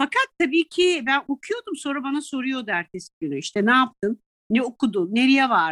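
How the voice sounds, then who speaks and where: Dry and close with no echo, a woman's high-pitched voice moves at a moderate pace with hardly any pauses and very wide pitch swings. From Italy (raised from early childhood, Turkish mother). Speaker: tour guide and sommelier. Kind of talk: interview conversation. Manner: animated, laughs often.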